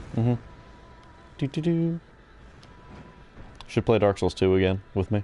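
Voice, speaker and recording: A man with a dark, mellow tone speaks at a medium pitch and moderate pace. His pitch swings very widely, and he leaves long, frequent pauses. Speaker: gamer co-commentator. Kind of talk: casual chat.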